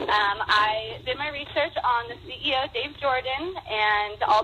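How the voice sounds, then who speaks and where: This is a woman speaking with an American accent. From Nevada, US (Las Vegas). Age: 20s. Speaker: stay-at-home mom, network marketer. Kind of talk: testimony.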